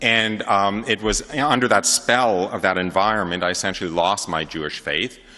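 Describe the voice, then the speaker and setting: The voice comes in a New York accent at a moderate pace. Its tone is bright and sharp, with ordinary pitch variation. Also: man. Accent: New York area American. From New York area, US. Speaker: convert giving testimony. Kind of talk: testimony talk to an audience. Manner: many fillers and hesitations.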